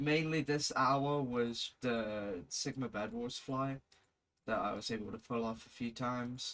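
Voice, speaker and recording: Speaking in a British accent, a man talks at a very slow pace with a medium pitch and fairly even intonation. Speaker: video editor / gaming content creator. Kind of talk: casual screen-recorded tutorial commentary. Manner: casual, swearing.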